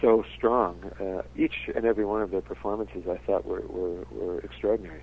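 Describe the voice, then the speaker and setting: Moving at a moderate pace, a man speaks with hardly any pauses. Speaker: TV director. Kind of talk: casual phone interview. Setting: phone call. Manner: hesitant, filler-heavy.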